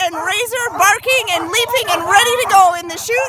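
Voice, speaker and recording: With crowd noise in the background, a woman speaks in a raised, projected voice at an extremely high pitch and a moderate pace. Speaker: race announcer. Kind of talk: live event announcing. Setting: outdoors, poor audio.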